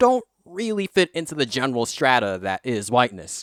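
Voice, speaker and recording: A man speaks with an American accent and very wide pitch swings. The sound is dry and close with no echo, on a very clean recording with a silent background. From South Africa. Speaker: YouTuber. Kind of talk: vlog monologue. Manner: casual.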